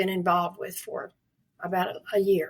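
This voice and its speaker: A woman talks in a Southern US accent. Her pace is moderate. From US South, North Carolina (Durham). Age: 80s+. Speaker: literacy advocate. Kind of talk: interview.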